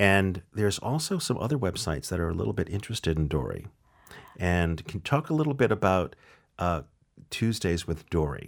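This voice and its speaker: On a very clean recording with a silent background, a man talks at a fairly quick pace in a very deep, low pitch with very wide pitch swings. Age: 50s. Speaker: food podcast interviewer. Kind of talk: interview.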